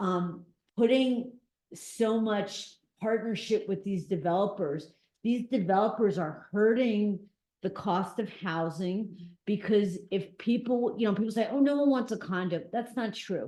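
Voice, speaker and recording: A woman with an American accent, medium pitch and ordinary pitch variation, dark and mellow, at a fairly slow pace over a quiet background. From US East Coast. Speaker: community meeting attendee. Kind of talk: community meeting discussion. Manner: talkative.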